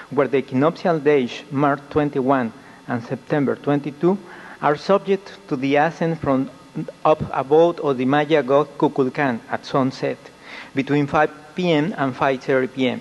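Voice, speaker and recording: Noticeable background noise beneath a man's fairly high, fairly evenly intoned voice. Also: moderate pace. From Mexico. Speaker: UFO researcher. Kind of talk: conference presentation. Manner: formal.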